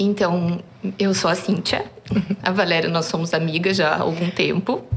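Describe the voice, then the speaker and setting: In a Curitiba accent, a woman speaks at a fairly low pitch with fairly even intonation over noticeable background noise. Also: moderate pace. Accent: Curitiba accent, still noticeable. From southern Brazil, Curitiba. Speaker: surgeon. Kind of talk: podcast interview.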